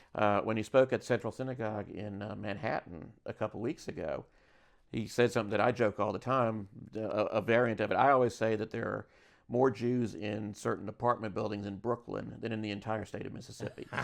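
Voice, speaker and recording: With a Southern accent, a man talks in a fairly low voice. The background is quiet. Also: fairly even intonation, fairly quick pace. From US South, Birmingham, Alabama. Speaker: magazine editor. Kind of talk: casual interview. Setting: convention.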